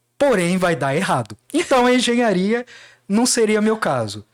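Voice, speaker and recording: A man with a Cuiabá accent speaks at a fairly slow pace. The recording is very clean, with a silent background and a dry, close sound with no echo. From Mato Grosso, Brazil (Baixada Cuiabana). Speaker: lawyer. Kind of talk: podcast interview.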